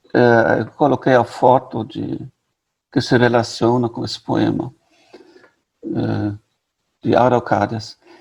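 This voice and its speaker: Fairly slowly, a man with a German accent speaks in a dark, mellow tone. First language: German (speaking Portuguese). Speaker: literature professor. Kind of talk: lecture. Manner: halting.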